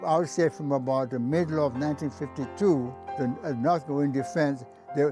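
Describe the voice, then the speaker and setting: Over music in the background, a man with an American accent speaks at a moderate pace and a fairly high pitch. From New York City. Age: 80s+. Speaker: war veteran. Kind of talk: interview answer.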